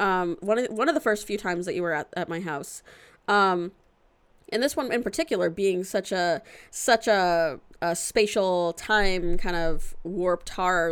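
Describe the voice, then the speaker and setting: A woman's unremarkable speaking voice at medium pitch, with ordinary pitch variation, in a very clean recording with a silent background. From Florida. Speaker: film podcast co-host. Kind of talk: casual chat.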